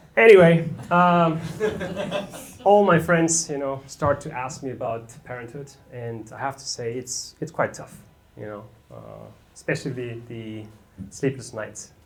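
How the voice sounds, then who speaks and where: A man with a medium-pitched voice speaks at a fairly slow pace, leaving long, frequent pauses, with lively intonation and big swings in loudness. Noticeable background noise and audible room echo fill the recording. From Germany. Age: 30s. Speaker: amateur stand-up comedian. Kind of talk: stand-up. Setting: stage with audience.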